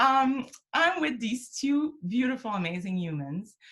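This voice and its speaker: A woman speaks with a strong French Canadian accent and a bright, sharp tone. Her pitch swings very widely. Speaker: program director, web series host. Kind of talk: casual interview chat. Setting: home office, video call.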